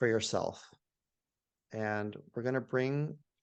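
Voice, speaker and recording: Against a quiet background, a man talks at a fairly slow pace. His intonation stays fairly even. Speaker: physician and author. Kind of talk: interview; guided meditation.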